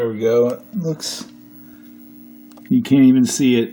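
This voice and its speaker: A man speaks at a moderate pace in a medium pitch. Background noise is noticeable. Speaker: arcade machine repair hobbyist. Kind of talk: casual repair tutorial talk to camera. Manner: monotone.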